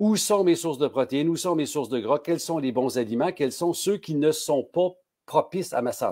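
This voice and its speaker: Recorded very cleanly with a silent background, a man speaks in a dark, mellow tone with ordinary pitch variation. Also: fairly high pitch for a man, moderate pace. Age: 60s. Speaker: pharmacist. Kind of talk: casual interview.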